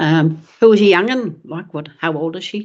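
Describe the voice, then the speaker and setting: A woman with a New Zealand accent. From Netherlands, raised in New Zealand. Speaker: former footballer. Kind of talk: casual chat.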